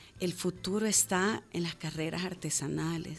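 An unremarkable speaking voice at a fairly slow pace with fairly even intonation. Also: woman. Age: 40s. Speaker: sustainable fashion entrepreneur. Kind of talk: radio interview. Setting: radio studio.

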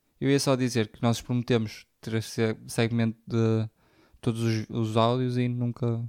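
In a European Portuguese accent, a man speaks at a fairly slow pace and medium pitch, his intonation monotone and flat but his loudness swinging widely. The recording is very clean and dry, close with no echo, over a silent background. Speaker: podcast co-host. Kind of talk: casual chat. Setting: recorded at co-host's home.

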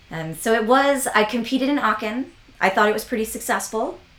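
There is noticeable background noise. A woman with an American accent speaks at a fairly quick pace. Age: 40s. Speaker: equestrian vaulting coach. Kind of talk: casual interview.

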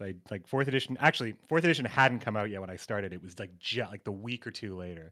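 In a very clean recording with a silent background, a man with a bright, sharp tone talks very fast with hardly any pauses, lively intonation and big swings in loudness. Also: fairly low pitch for a man. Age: 30s. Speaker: gamer and streamer. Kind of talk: casual chat.

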